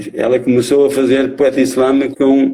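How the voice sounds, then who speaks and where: This man has a medium pitch and a dark, mellow tone. He speaks at a fairly slow pace. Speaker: slam poet. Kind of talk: interview answer.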